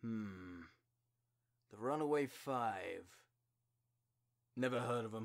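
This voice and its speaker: A man's put-on character voice at medium pitch, with ordinary pitch variation and long, frequent pauses. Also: fairly slow pace. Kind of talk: video game character voice acting. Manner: shouted battle cries.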